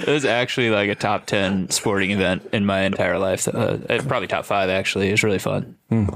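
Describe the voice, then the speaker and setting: Against noticeable background noise, a man with an American accent speaks at a fairly quick pace, his loudness very even. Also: fairly low pitch for a man, ordinary pitch variation. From Minnesota. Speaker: college baseball coach. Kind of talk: casual chat.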